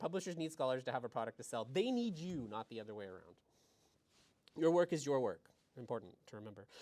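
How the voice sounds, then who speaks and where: At a very fast pace, a man with a fairly high pitch talks with very wide pitch swings. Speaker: academic librarian. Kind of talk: presentation to graduate students. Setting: library session, in person and online.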